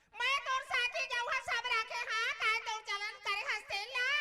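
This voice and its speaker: A woman's put-on character voice at an extremely high pitch, with a moderate pace and ordinary pitch variation. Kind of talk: folk-theatre comic acting. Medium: stage play. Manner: loud, quarrelsome.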